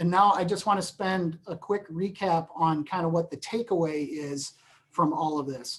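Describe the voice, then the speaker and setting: A woman talks at a fairly low pitch with ordinary pitch variation. It is a plain, everyday voice. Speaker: employment lawyer. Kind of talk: webinar presentation. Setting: webinar.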